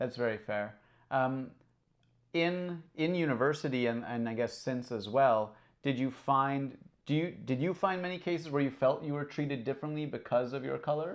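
Over a quiet background, a man with an ordinary speaking voice talks at a medium pitch and moderate pace, with ordinary pitch variation. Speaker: podcast host. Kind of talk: casual chat.

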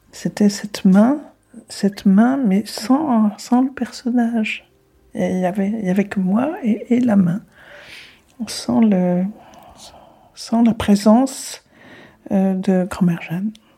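Speaking at medium pitch with ordinary pitch variation, a woman talks at a very slow pace. She leaves long, frequent pauses. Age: 80s+. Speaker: granddaughter of a deportee. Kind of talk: interview. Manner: halting.

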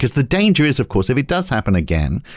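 Speaking at a very fast pace, a man with a medium pitch uses very wide pitch swings and vocal fry. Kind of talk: podcast discussion. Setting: studio.

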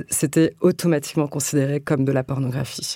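A woman speaks with a very deep, low pitch and a dark, mellow tone. Her pace is moderate and her pitch variation ordinary. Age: 30s. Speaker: writer. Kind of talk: interview. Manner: halting.

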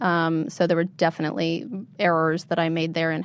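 Against a quiet background, a woman with an American accent uses a normal speaking voice, fairly low in pitch, at a fairly quick pace. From central Pennsylvania. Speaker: political candidate and activist. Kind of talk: interview.

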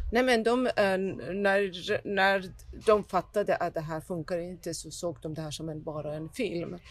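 Music plays in the background as a woman with a fairly low pitch speaks at a fairly slow pace, showing ordinary pitch variation and big swings in loudness. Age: 50s. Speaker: documentary filmmaker. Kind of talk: interview. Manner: halting.

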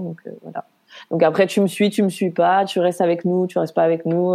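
A woman talks at a moderate pace with a medium pitch and a dark, mellow tone. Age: 30s. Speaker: nurse, single mother. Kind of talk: personal testimony interview.

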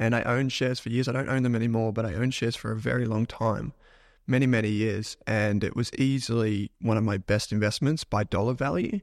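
Medium in pitch, a man talks at a fairly quick pace in an ordinary speaking voice. The recording is very clean, with a silent background. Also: fairly even intonation. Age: 30s. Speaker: finance podcaster and investor. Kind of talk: casual chat. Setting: office.

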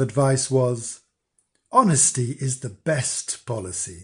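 A somewhat breathy, theatrical male voice at a medium pitch, over a quiet background. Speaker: storyteller. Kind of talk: fairy-tale narration, read aloud with character voices. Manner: slow, storyteller's pace, dark and theatrical.

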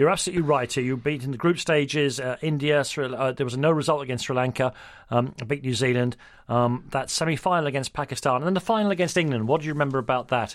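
Recorded very cleanly against a silent background, a man with a fairly high pitch talks at a very fast pace with ordinary pitch variation. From London. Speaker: radio sports host. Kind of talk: interview.

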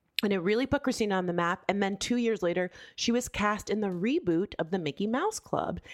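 A woman speaks with lively intonation and an animated tone at medium pitch. The recording is very clean, with a silent background. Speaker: podcast co-host. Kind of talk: casual chat.

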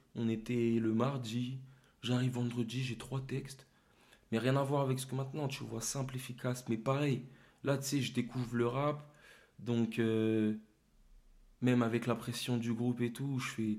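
A man speaks in a monotone, flat intonation at a fairly slow pace, with long, frequent pauses. Audible room echo surrounds his voice. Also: medium pitch for a man. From Paris suburbs, Seine-et-Marne (Torcy). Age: young. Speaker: rapper. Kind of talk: casual interview.

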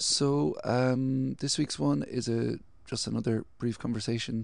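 A man speaks with a Cork accent. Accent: Cork Irish. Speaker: podcast host. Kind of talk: casual chat.

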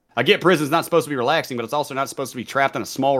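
A man's medium-pitched voice at a very fast pace, with a slight Southern US accent, ordinary pitch variation, and a very clean recording with a silent background. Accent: mild Southern US. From US South, college town. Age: 30s. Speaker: gamer and streamer, former prisoner. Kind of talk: casual chat.

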